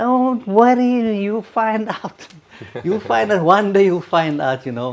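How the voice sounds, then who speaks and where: Very wide pitch swings run through the man's speech. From South Africa, Simonstown near Cape Town. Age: 70s. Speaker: retired navy man, interviewee. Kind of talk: casual interview, personal memories. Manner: repetitive, halting with many fillers.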